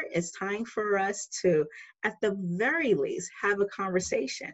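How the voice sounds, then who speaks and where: A woman at medium pitch with a New York accent. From New York City. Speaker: filmmaker. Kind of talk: interview.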